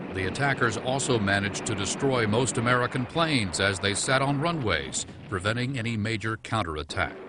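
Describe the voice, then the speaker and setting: A man's solemn tone with lively intonation, medium pitch, a fairly quick pace and hardly any pauses, against noticeable background noise. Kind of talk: history documentary narration. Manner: formal, measured, solemn.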